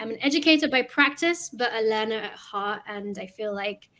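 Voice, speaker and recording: In a London accent, a woman speaks at a fairly slow pace with a fairly high pitch. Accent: British (London). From London, England. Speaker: educator. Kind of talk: podcast conversation.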